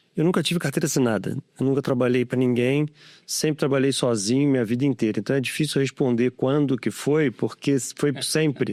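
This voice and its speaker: A man's normal speaking voice at medium pitch, fairly quick, with ordinary pitch variation and very even loudness, on a very clean, dry, close recording with a silent background and no echo. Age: 60s. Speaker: tech company founder. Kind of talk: podcast interview.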